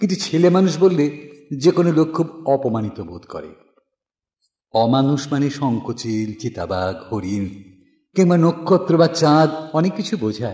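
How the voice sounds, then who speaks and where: A man with a dark, mellow tone and a somewhat breathy sound speaks at a fairly high pitch, with very wide pitch swings and big swings in loudness. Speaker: poetry reciter. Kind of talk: poetry reading.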